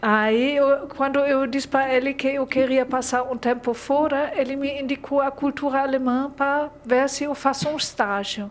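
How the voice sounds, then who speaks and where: A woman's high-pitched voice, monotone and flat, at a fairly slow pace with noticeable background noise. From Germany. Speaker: literature graduate, German teacher. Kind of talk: interview. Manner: halting.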